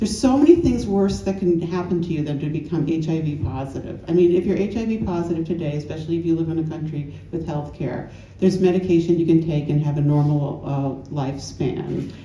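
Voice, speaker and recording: A woman with an American accent, fairly low-pitched, fairly quick and with hardly any pauses, ordinary pitch variation, noticeable background noise and audible room echo. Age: 60s. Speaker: author and AIDS historian. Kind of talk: panel discussion. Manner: animated.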